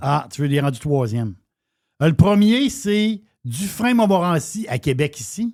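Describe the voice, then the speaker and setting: A man with a Quebec accent speaks at a fairly slow pace in a high pitch, his voice moving through very wide pitch swings. The recording is very clean, with a silent background. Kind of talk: casual talk-radio banter.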